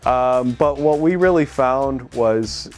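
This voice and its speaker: Someone speaks with a New York State accent while music plays in the background. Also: man. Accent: American (New York State). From upstate New York, USA. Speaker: motorcycle rider. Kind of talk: interview answer. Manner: casual, conversational.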